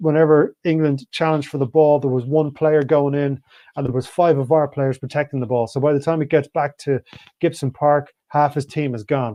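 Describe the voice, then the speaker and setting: A man with an Irish accent, a fairly high pitch and fairly even intonation. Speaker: rugby pundit. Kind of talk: live show commentary. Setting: online live stream. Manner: fast.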